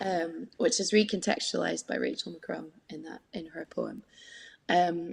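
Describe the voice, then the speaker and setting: A woman speaks at a fairly slow pace with a Scottish accent. Her loudness swings widely from moment to moment. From Scotland, Scottish Borders (Peebles). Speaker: harpist and singer. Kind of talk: interview. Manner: talkative, hesitant with fillers.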